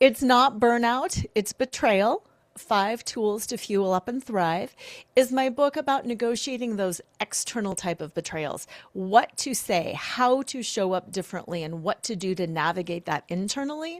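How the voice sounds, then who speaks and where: In a dry, close recording without echo, a woman with a normal speaking voice talks at a moderate pace, her fairly high pitch moving in lively intonation. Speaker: attorney and betrayal recovery therapist. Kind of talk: interview.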